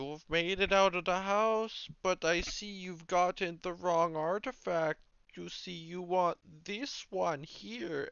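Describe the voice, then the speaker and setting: Fairly slow pace in a put-on character voice. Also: man, high pitch for a man. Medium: actual play. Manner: theatrical, cryptic.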